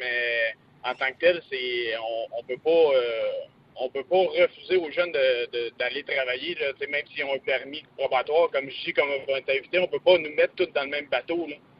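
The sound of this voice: Medium pitch from a man, with ordinary variation in it. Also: dry, close sound with no echo.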